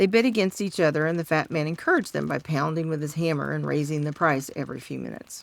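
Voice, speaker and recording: Soft-spoken, a woman talks at a very fast pace. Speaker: storyteller. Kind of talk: reading aloud.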